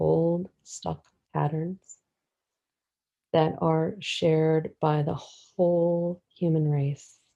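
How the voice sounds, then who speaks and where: A woman's very slow, fairly low-pitched voice, flat and monotone, with a dark, mellow tone. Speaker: meditation guide. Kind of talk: guided meditation. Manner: soft-spoken.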